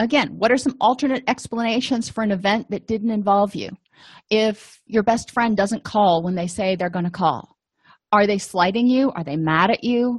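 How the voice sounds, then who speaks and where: A somewhat breathy woman's voice, fairly high in pitch with ordinary pitch variation, at a moderate pace over a quiet background. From US, Italian-American family. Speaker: therapist / counselor. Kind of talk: educational lecture.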